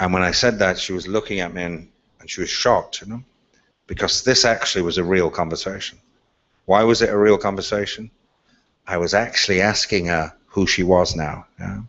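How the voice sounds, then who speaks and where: Speaking at a fairly quick pace, a man with an Irish accent has a very deep, low pitch and fairly even intonation. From Ireland. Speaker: speaker on leadership. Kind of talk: talk.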